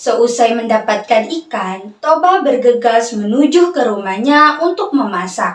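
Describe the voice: Big pitch swings run through a woman's fairly slow speech. Room echo can be heard.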